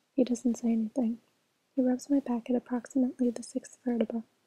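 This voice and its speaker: A soft-spoken woman whispers at a moderate pace, her sound dry and close with no echo. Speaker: ASMR reader. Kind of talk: audiobook-style reading, ASMR. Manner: soft-spoken, whispery, relaxing.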